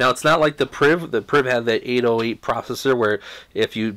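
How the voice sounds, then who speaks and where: A man's voice at a fairly quick pace with ordinary pitch variation. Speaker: tech reviewer. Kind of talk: product review commentary. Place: home room.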